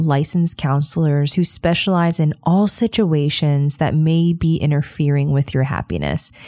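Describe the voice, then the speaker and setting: A woman speaks at a moderate pace in a dark, mellow tone and a fairly low pitch. The sound is dry and close, with no echo. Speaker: podcast host. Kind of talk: true-crime narration. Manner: measured, storytelling delivery, steady and earnest.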